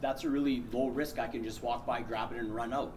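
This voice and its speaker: In a Canadian accent, a man talks at a fairly quick pace with a medium pitch and ordinary pitch variation, and audible room echo. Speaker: workplace safety trainer. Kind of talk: safety training presentation. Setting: presentation room, recorded on camera. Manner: fast.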